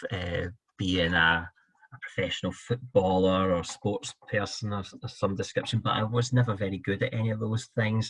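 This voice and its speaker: Someone with a Scottish accent speaks at a fairly slow pace with ordinary pitch variation. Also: man. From Scotland. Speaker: fundraising director. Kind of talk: interview.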